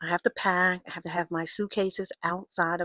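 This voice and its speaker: In a plain, everyday voice, a woman speaks with fairly even intonation on a very clean recording with a silent background and a dry, close sound with no echo. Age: 60s. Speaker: lifestyle vlogger. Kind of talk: casual vlog.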